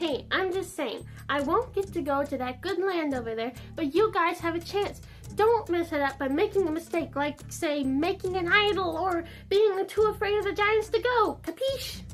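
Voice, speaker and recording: A woman speaks in a put-on character voice at a moderate pace. Clear music plays in the background. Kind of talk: comic sketch. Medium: comedy sketch. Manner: preachy, wry.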